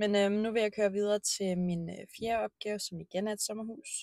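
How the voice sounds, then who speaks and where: A woman's medium-pitched voice with a dark, mellow tone, fairly even intonation and a moderate pace, dry and close with no echo. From Denmark, Bornholm. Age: 20s. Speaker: vlogger, cleaner and horse therapist. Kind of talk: casual vlog monologue. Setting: in a car and at the stable. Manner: hesitant with many fillers.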